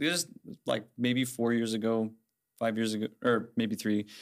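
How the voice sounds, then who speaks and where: Here a man speaks with a Midwestern American accent at medium pitch. The recording is very clean, with a silent background. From Indiana, Fort Wayne. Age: 20s. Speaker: college student. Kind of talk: casual chat. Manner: halting, many fillers.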